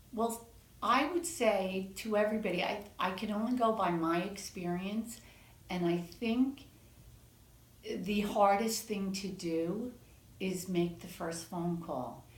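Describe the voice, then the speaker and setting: Audible room echo surrounds a woman speaking very slowly at a medium pitch with ordinary pitch variation. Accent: American. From New York City. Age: 60s. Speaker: patient giving testimonial. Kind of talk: interview testimonial.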